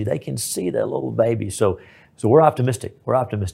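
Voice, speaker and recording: Somewhat breathy and dark, mellow in tone, a man with a Texan accent talks at a fairly quick pace. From East Texas. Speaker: state senator and lawyer. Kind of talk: interview.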